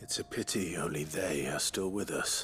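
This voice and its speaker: Raspy and very deep, a man does a put-on character voice over clear background noise. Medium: video game. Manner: direct, grave.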